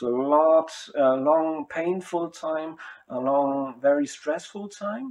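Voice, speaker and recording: Very slowly and with ordinary pitch variation, a man with a non-native accent speaks in a fairly high pitch. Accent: non-native English speaker. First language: German. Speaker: spiritual self-styled speaker. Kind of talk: monologue to camera. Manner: halting.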